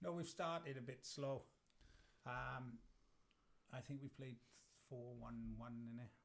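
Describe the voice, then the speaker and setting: With a South Wales accent, a man speaks at a fairly slow pace with long, frequent pauses, his medium pitch showing ordinary variation. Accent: South Wales valleys. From South Wales (Merthyr valley). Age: 50s. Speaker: lawn bowls player. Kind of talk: casual chat.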